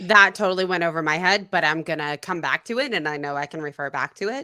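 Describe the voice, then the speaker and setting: A woman with an American accent talks very fast at a fairly low pitch, with ordinary pitch variation. Her tone is bright and sharp, and the sound is dry and close with no echo. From United States. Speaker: livestream host, learner. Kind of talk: casual chat on livestream.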